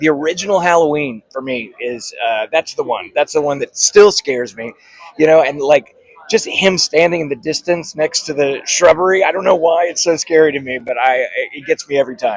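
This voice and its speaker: The sound is dry and close, with no echo, as a man with an ordinary speaking voice talks at a fairly quick pace. His pitch is fairly high and his intonation lively. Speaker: voice actor and filmmaker. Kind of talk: interview answer. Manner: casual, upbeat.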